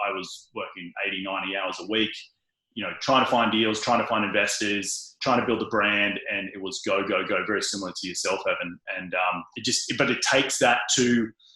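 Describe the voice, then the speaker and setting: Using fairly even intonation and a bright, sharp tone, a man with a fairly low pitch talks at a fairly quick pace in an Australian accent. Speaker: real estate investor. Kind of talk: interview. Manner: fast, many fillers.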